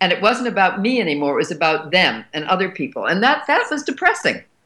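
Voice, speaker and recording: A woman talks at a very fast pace in a bright, sharp tone with vocal fry and very wide pitch swings. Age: 70s. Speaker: actress and writer. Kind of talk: casual chat. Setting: studio.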